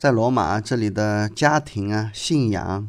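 A man at a very slow pace, in a very clean recording with a silent background. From China. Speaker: podcast host, travel storyteller. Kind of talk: casual travel narration. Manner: conversational, many fillers (啊, 呃).

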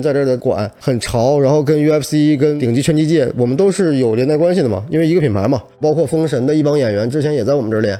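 Noticeable background noise sits behind the speaker. A man talks at a very fast pace in a fairly high voice. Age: 30s. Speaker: boxing gym owner. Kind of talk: interview. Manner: animated.

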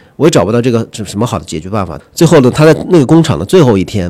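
Here is a man with an ordinary speaking voice. He talks fairly quickly with lively intonation. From Huanggang, Hubei, China. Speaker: magazine editor. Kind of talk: casual discussion.

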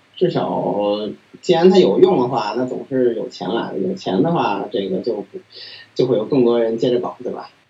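Lively intonation carries the speech at a moderate pace over noticeable background noise. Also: man, medium pitch for a man. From Beijing, China. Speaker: PhD student in machine learning. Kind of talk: interview. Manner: halting with many fillers.

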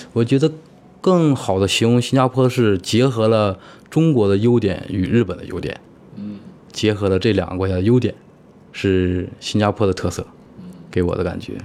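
A man speaks at a fairly low pitch with ordinary pitch variation. His moderate pace is broken by long, frequent pauses. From Heilongjiang, northeast China. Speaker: IT worker living abroad. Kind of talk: interview conversation. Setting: in-person recording in Singapore.

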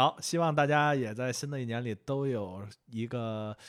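Over a silent background in a very clean recording, a man talks at a moderate pace with a medium pitch, ordinary pitch variation, and a strong Beijing accent. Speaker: film fan, new team member. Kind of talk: casual chat.

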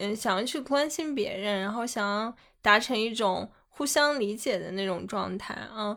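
Fairly slow and fairly high in pitch, a woman talks in a normal speaking voice with ordinary pitch variation on a very clean recording with a silent background. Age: young. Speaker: podcast co-host. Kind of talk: casual chat.

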